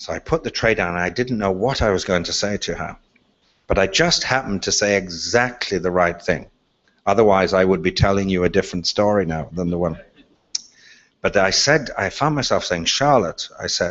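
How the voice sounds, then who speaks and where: A fairly low-pitched man with an Irish accent, fairly quick, with ordinary pitch variation. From Ireland. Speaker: speaker on leadership. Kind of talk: talk.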